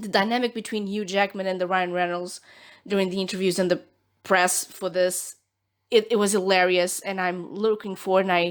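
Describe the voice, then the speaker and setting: A woman with a Portuguese accent, medium pitch and a fairly quick pace, on a very clean recording with a silent background. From Portugal. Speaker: nail art youtuber. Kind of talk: tutorial. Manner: animated.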